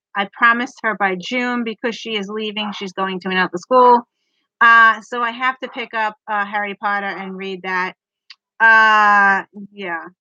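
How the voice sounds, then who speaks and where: Fairly high-pitched and bright, sharp in tone, a woman speaks with an American accent at a moderate pace. Her intonation is fairly even, and the sound is dry and close, with no echo. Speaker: book vlogger. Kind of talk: casual live stream chat.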